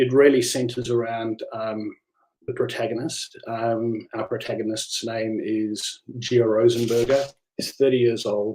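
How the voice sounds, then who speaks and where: A man with a South African accent speaks fairly slowly at a medium pitch, his intonation monotone and flat. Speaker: novelist. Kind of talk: live online book talk. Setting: livestream. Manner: halting, many fillers.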